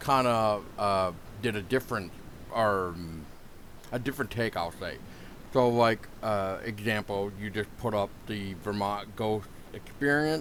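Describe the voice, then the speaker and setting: A man with a fairly low voice talks fairly slowly, leaving long, frequent pauses, while his pitch moves in an ordinary way. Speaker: podcast host. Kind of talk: podcast interview questions.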